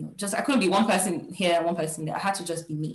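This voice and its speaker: A woman speaks with a Nigerian accent and a fairly low pitch. Her pitch varies in an ordinary way, and the room echo is audible. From Nigeria, Lagos. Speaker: career coach, HR professional. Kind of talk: workshop talk.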